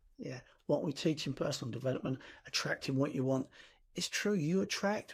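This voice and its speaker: A man's fairly high, somewhat breathy voice with lively intonation at a moderate pace, on a very clean recording with a silent background. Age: 60s. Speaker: personal development coach. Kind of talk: motivational talk. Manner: conversational.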